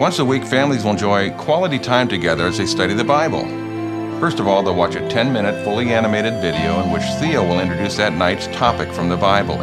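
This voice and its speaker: Loud music plays in the background. Over it, a man speaks at a very fast pace. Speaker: animated series creator. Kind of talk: promotional talk to camera. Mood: warm, sincere. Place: home room.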